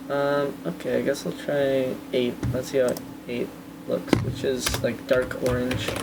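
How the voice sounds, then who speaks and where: The speech moves at a very slow pace. Noticeable background noise runs beneath it. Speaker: game developer streamer. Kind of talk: live stream devlog commentary. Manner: hesitant, many fillers; pitch raised on purpose.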